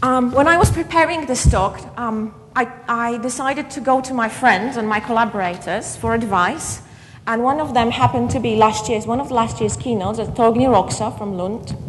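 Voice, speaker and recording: A woman with a fairly high pitch talks at a moderate pace and ordinary pitch variation, with audible room echo and noticeable background noise around her. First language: Polish. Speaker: keynote speaker, education academic. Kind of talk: conference keynote lecture. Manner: halting, with repetitions.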